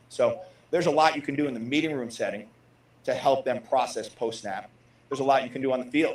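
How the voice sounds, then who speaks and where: A man at a fairly high pitch and very fast pace, with fairly even intonation, amid noticeable background noise. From New Jersey. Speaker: football position coach. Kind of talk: press conference answers. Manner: repeats words often.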